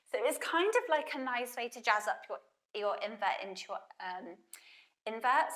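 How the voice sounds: Putting on a hoarse character voice, a high-pitched woman speaks at a moderate pace with lively intonation, big swings in loudness and long, frequent pauses.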